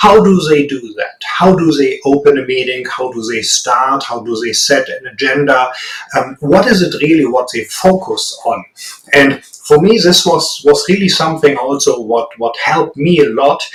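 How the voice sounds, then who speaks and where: Lively intonation from a fairly high-pitched man with a strong German accent, at a moderate pace amid noticeable background noise. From Germany. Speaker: business executive. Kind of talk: interview. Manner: hesitant, many fillers.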